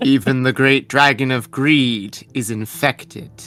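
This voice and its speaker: This put-on character voice sits at a low-to-middle pitch. It moves at a fairly slow pace. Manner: eerie.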